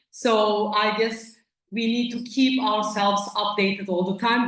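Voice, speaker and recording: There is audible room echo as a woman speaks at a medium pitch with fairly even intonation. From Turkey. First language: Turkish. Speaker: company representative at academic conference. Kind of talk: conference presentation.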